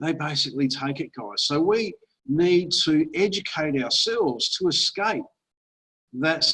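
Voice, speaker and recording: Delivered at a fairly slow pace in an Australian accent, the voice has a bright, sharp tone and lively intonation. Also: man, fairly high pitch for a man. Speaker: online marketer and investment presenter. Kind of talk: webinar presentation. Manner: casual, conversational.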